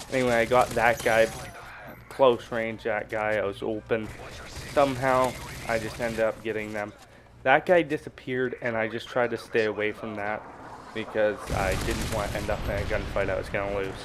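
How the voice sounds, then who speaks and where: A man's shaky voice moves at a moderate pace with fairly even intonation. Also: medium pitch for a man. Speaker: gaming YouTuber. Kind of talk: gameplay commentary tutorial. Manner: casual, halting.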